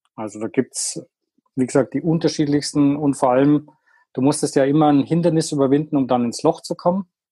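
A man with a fairly high pitch and a dark, mellow tone speaks at a fairly quick pace. His intonation stays fairly even, and the sound is dry and close with no echo. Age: 50s. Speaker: golf product inventor. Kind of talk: podcast interview.

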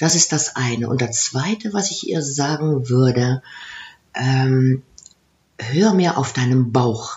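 A woman speaks at a very slow pace in a very deep, low voice. Her delivery is somewhat breathy with lively intonation. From Aachen area, Germany / Netherlands border. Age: 50s. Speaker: coach and former HR executive. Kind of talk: interview. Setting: in person in Maastricht.

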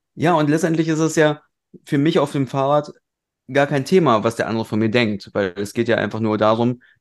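Lively intonation from a man in a normal speaking voice at a moderate pace. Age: 30s. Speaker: podcast co-host. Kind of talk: casual chat.

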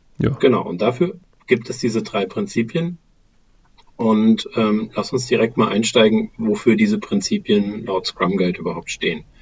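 A man speaks at a moderate pace with lively intonation. His voice sits at a medium pitch and sounds somewhat breathy. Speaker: podcast co-host on agile work methods. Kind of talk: casual discussion. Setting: remote recording over a phone call. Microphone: recording on a laptop with headphones.

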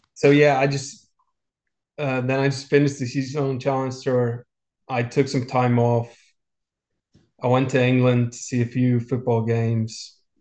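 A man with an Icelandic accent talks at a moderate pace in a medium pitch, his intonation monotone and flat, with long, frequent pauses. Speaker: professional golfer. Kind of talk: interview.

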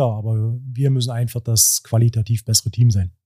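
A man talks at a fairly quick pace at a medium pitch, his tone dark, mellow and somewhat breathy. The sound is dry and close, with no echo. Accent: Brandenburg. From Cottbus, Lower Lusatia (Brandenburg). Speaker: handball club sporting director, former coach. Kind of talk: casual interview.

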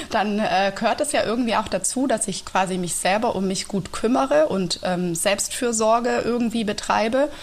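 With hardly any pauses, a woman talks at a moderate pace in a fairly high pitch with ordinary pitch variation, over noticeable background noise. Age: 30s. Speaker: teacher and yoga teacher. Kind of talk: casual interview. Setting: video call. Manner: calm and clear.

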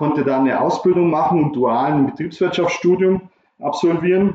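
Using a plain, everyday voice, a man keeps a moderate pace and ordinary pitch variation. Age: 50s. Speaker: recruitment consultant. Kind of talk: interview.

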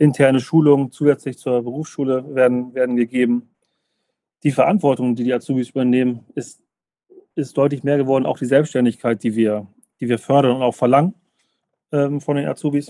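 A man at a medium pitch with a dark, mellow tone talks at a fairly quick pace with fairly even intonation. Long, frequent pauses break up his speech, and the sound is dry and close with no echo. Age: 30s. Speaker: tax advisor, law firm partner. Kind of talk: podcast interview. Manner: halting, many fillers and repetitions.

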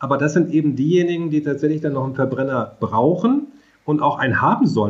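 Speaking very fast, a man uses a fairly high pitch. There is a somewhat breathy quality to his voice. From rural Germany. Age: 50s. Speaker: mobility agency director, economist. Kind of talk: interview.

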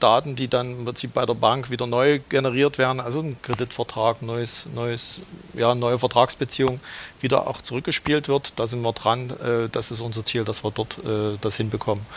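Speaking at a moderate pace, a man has an unremarkable speaking voice of medium pitch with fairly even intonation. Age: 40s. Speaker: credit brokerage manager. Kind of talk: casual interview.

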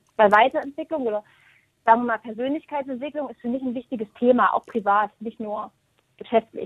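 Her pace is fairly quick, with ordinary pitch variation. This woman has a normal speaking voice, pitched fairly high. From Thuringia, eastern Germany. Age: 30s. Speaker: hairdresser and salon team manager. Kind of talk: interview.

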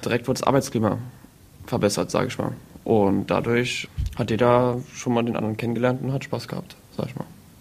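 Over noticeable background noise, a man talks at a very fast pace in a medium pitch with monotone, flat intonation. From Saarland, Saarbrücken. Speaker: IT apprentice. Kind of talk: casual chat.

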